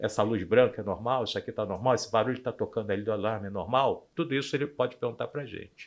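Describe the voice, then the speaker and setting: Over a quiet background, a man talks at a very fast pace with hardly any pauses. His pitch is medium, with ordinary variation. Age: 60s. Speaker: anesthesiologist. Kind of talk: podcast interview.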